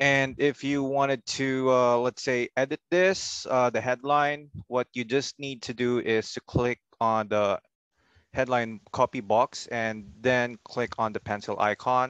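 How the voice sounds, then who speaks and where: Speaking at a fairly slow pace, a man has an ordinary speaking voice at medium pitch with fairly even intonation, recorded with a dry, close sound with no echo over a quiet background. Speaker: software trainer. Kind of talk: tutorial.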